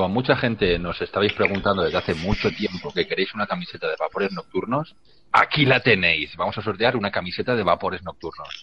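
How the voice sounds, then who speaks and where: Hardly any pauses break up the very fast pace of this speech. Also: man. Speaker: podcast co-host. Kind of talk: casual chat.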